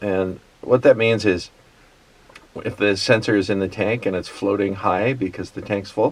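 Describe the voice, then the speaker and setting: Fairly slow, mumbled speech with fairly even intonation amid noticeable background noise. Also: man. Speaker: tractor repair hobbyist. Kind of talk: casual how-to talk to camera. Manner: mumbling, halting.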